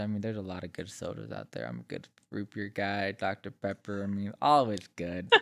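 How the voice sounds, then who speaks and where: A man's voice at a moderate pace. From Utah. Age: 20s. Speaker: podcast guest. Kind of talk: casual chat. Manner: halting.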